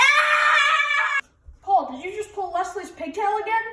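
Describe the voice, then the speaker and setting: A woman shouting in a put-on character voice, extremely high in pitch with very wide pitch swings. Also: fairly slow pace. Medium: read story.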